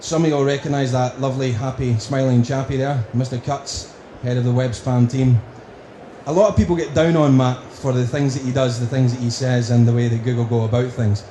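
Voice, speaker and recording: A man with a strong Scottish accent talks at a fairly quick pace and fairly even intonation. Noticeable background noise and audible room echo fill the recording. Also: medium pitch for a man. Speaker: conference speaker on marketing. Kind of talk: conference presentation.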